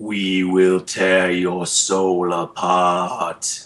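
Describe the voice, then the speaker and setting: This man does a put-on character voice, pitched very deep and low, with flat, monotone intonation. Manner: menacing.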